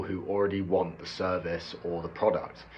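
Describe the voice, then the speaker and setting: With a British accent, a man talks at a moderate pace in a very deep, low pitch, and audible room echo surrounds his voice. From UK. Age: 20s. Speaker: bricklayer explaining online sales. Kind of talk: explainer monologue to camera.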